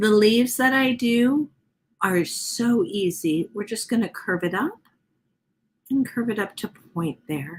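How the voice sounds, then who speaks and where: A woman with a somewhat breathy, fairly high voice speaks with lively intonation. Her pace is fairly slow, broken by long, frequent pauses. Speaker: art instructor. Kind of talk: tutorial. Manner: casual, chatty.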